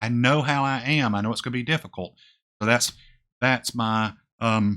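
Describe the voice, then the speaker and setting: Mumbling from a man in a bright, sharp tone, very clean recording, silent background. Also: medium pitch for a man, ordinary pitch variation, moderate pace. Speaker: retirement finance youtuber. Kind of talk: casual vlog talk to camera. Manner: mumbling, voice drops off; hesitant with fillers.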